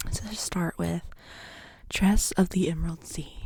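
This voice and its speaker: Soft-spoken and somewhat breathy, a woman talks at a fairly slow pace in a fairly low pitch, her dark, mellow tone carrying a monotone, flat intonation. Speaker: ASMR creator. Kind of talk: ASMR book haul.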